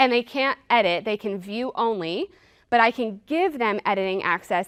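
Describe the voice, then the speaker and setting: A woman speaks in a plain, everyday voice, fairly high in pitch, at a moderate pace. The sound is dry and close with no echo, and her pitch varies in an ordinary way. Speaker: product trainer, former teacher. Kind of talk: product demo workshop.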